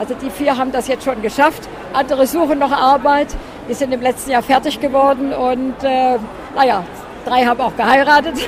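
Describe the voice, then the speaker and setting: Over crowd noise and audible room echo, a woman speaks in a high voice at a moderate pace. Her intonation is monotone and flat. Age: 80s+. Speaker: charity association vice-chair. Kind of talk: interview at an event stand. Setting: event stand. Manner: hesitant with fillers.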